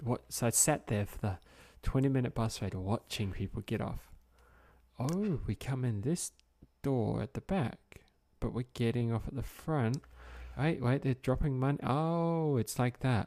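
An Australian-accented man with a medium-pitched, dark, mellow tone speaks fairly slowly with lively intonation. The sound is dry and close with no echo, on a very clean recording with a silent background. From Australia, Brisbane. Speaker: podcast host. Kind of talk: casual chat.

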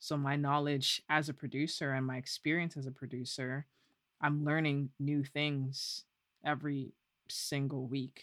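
A woman with a Canadian accent and a very deep, low pitch, monotone and flat, at a fairly slow pace, in dry, close sound with no echo on a very clean recording with a silent background. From Canada, Toronto. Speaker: music producer and songwriter. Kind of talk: casual interview.

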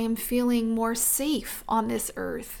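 A woman speaks at a very slow pace. Her pitch is fairly high. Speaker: animal communicator podcast host. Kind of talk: solo spiritual talk. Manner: clear and focused.

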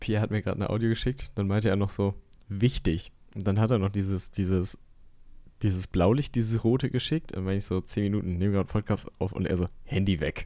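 A man's fairly low voice, dark and mellow in tone, with ordinary pitch variation and a very fast pace on a very clean recording against a silent background. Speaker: podcast co-host. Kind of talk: casual chat. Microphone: new microphone.

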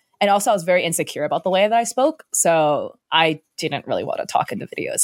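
A woman with an American accent talks at a very fast pace in a dry, close sound with no echo. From California. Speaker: Twitch streamer and content creator. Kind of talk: interview. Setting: remote recording. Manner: fast talker; loud, high energy.

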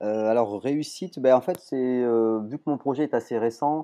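A man's dark, mellow tone with a slight southern French accent, ordinary pitch variation and a moderate pace against a quiet background. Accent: slight sing-song southern French. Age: 40s. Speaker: entrepreneur. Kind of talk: interview. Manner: hesitant, many fillers.

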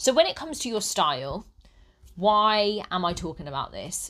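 Recorded very cleanly with a silent background, a woman with a British accent has a bright, sharp tone. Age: 30s. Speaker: style consultant podcaster. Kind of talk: solo podcast monologue. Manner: conversational, occasional laughs.

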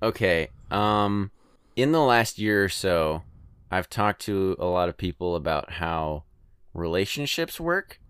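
Recorded dry and close with no echo, a man speaks with an American accent and lively intonation. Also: very clean recording, silent background. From California. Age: 20s. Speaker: podcast listener guest. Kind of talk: casual chat.

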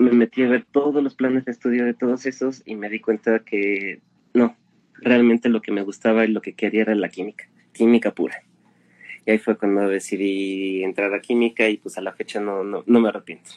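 Recorded with a dry, close sound and no echo, a man speaks at a fairly quick pace, medium in pitch, with fairly even intonation. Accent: central Mexican. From Mexico City. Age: 20s. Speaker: chemist and science meme creator. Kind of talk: casual interview chat.

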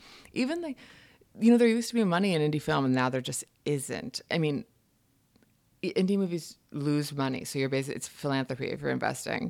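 Speaking in a New York accent at a fairly quick pace, a woman uses a very deep, low pitch with very wide pitch swings and long, frequent pauses. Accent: American, New York area. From upstate New York, Hudson Valley. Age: 30s. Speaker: writer. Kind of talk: casual chat. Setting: home kitchen.

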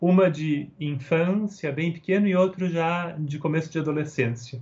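A man with a São Paulo accent. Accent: Brazilian Portuguese, São Paulo. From Brazil, São Paulo. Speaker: Montessori researcher and educator. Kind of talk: interview. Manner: hesitant repetitions.

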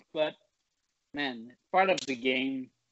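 Speaking at a very slow pace, a man has a Quebec accent. His intonation is lively. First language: French. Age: 20s. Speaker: mixed martial arts fighter. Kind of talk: casual interview.

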